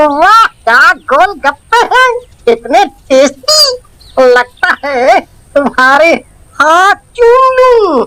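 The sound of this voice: A cartoonish character voice at an extremely high pitch swings very widely in pitch at a very slow pace.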